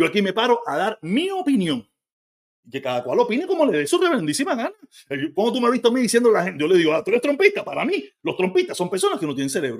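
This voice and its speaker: Speaking at a very fast pace, a man with a high pitch moves through very wide pitch swings. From Cuba. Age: 50s. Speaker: livestreamer. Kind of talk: live stream commentary. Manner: animated.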